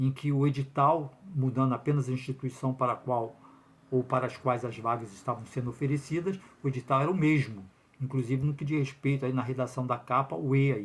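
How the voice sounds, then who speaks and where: Somewhat breathy, a man talks at a fairly quick pace with medium pitch and fairly even intonation. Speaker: lawyer commenting on public exam lawsuit. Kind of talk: video commentary monologue. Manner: fast; hesitant fillers.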